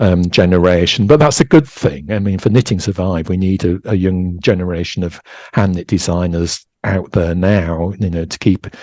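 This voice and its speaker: With a Yorkshire accent, a man speaks at a moderate pace in a very deep, low pitch and a dark, mellow tone, with ordinary pitch variation, in a very clean recording over a silent background. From East Yorkshire, England. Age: 60s. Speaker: knitwear designer. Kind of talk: interview. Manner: halting, many fillers and restarts.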